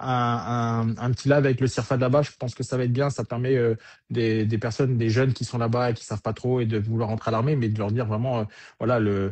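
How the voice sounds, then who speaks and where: There is a somewhat breathy edge to a man's voice. He talks very fast. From Germany, French military family. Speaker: military career coach. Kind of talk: live interview. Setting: online livestream.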